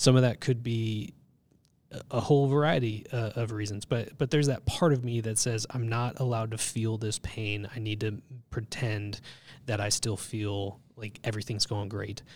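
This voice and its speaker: A man with a Californian accent and fairly even intonation, on a very clean recording with a silent background. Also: medium pitch for a man, moderate pace. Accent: Californian American English. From Southern California. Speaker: church ministry staff. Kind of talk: casual chat.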